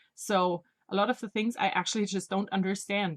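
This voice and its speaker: A woman speaks at medium pitch with a non-native accent. Her pace is moderate. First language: not English. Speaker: knitting podcaster. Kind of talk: casual video podcast monologue. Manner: halting.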